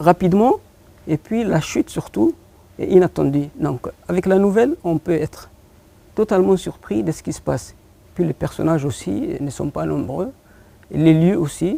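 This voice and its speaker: A man with a Horn of Africa accent speaks at a fairly slow pace, with long, frequent pauses. His pitch is high and his intonation lively. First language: Afar (speaking French). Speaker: poet and short story writer. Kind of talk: TV interview. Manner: halting, frequent hesitations.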